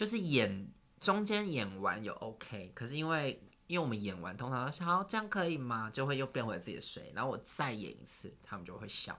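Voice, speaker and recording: Speaking at a fairly quick pace, a man has a medium-pitched voice with a bright, sharp tone. His pitch swings very widely. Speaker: singer and entertainer. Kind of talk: casual chat.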